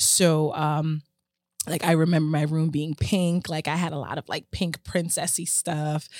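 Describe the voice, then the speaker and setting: In a very deep, low voice with a slight Jamaican accent, a woman speaks in a flat monotone, the sound dry and close with no echo on a very clean recording with a silent background. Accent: American English with little Jamaican. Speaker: home healthcare business owner. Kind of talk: podcast interview. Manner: clear enunciation; laughs often.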